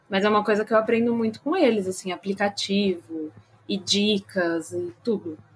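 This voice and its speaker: A woman at medium pitch with ordinary pitch variation and a moderate pace, amid noticeable background noise. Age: 20s. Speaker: streamer. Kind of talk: casual live-stream interview.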